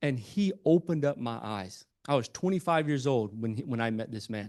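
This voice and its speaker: A man with a Southern US accent, animated in tone, lively in intonation, at a fairly quick pace, against a quiet background. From US South, Albany, Georgia. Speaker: entrepreneur and speaker. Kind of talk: motivational talk to live audience. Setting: stage with audience. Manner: stammering restarts.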